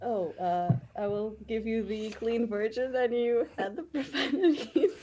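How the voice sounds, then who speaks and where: Lively intonation colors a dark, mellow tone. The pace is fairly slow. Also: woman, fairly high pitch for a woman. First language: not English. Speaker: tabletop role-playing game player. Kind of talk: casual chat.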